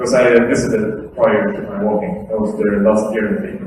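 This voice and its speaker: Here a man of medium pitch talks with lively intonation at a moderate pace. The room echo is audible, and so is the background noise. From Sweden. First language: Swedish. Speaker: activist speaker. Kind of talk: lecture. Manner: casual.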